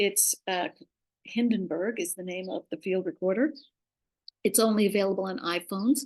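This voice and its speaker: In a normal speaking voice, a woman talks at a moderate pace and medium pitch with ordinary pitch variation over a quiet background. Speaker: podcast host and former radio producer. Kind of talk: presentation in a webinar.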